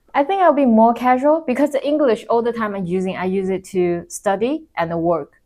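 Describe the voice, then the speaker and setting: A woman speaks in a Chinese accent with a dark, mellow tone. Her pitch swings very widely. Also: fairly high pitch for a woman, fairly quick pace. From China. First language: Mandarin Chinese. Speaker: corporate employee. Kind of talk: interview.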